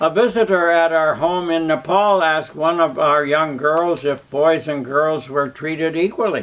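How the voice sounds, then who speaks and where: Noticeable background noise surrounds a man speaking at a fairly slow pace. He has a fairly high pitch with ordinary pitch variation. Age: 90s. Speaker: charity founder. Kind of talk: prepared speech.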